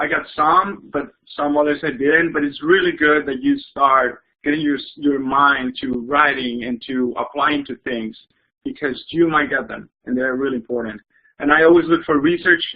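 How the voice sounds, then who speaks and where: The speaker talks at a moderate pace with a Spanish accent. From Mexico. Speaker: engineering student. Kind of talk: student panel talk.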